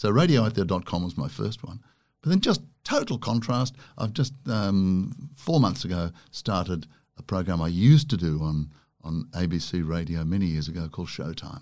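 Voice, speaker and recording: Very deep, low male voice in an Australian accent, lively intonation at a moderate pace, very clean recording with a silent background. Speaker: broadcaster and author. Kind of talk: casual interview chat. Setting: studio.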